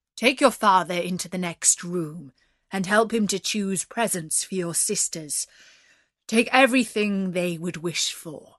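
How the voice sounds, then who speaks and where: Against a quiet background, a woman puts on a character voice at a medium pitch and a moderate pace. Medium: read story. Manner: stern, formal.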